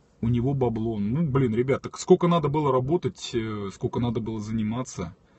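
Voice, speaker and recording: The voice is somewhat breathy, with ordinary pitch variation and a dry sound with no echo. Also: man. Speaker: streamer. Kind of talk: casual live stream chat reading comments. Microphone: phone near.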